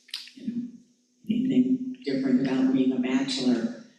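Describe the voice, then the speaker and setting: A man's voice with audible room echo. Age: 70s. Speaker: discussion group participant, former teacher. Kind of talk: personal sharing in discussion. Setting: church discussion group.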